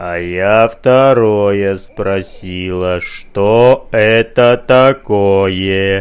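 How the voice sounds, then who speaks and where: In a put-on character voice, the speaker sounds creaky and menacing, talking very slowly with fairly even intonation and hardly any pauses. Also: man, fairly low pitch for a man. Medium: read story. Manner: menacing, repetitive.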